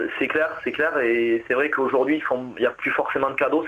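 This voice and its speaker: With a southwestern French accent, the speaker rushes at a very fast pace in a monotone, flat intonation over noticeable background noise. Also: man. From southwest France, Agen. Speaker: marathon runner. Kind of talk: radio interview. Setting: phone call. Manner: halting.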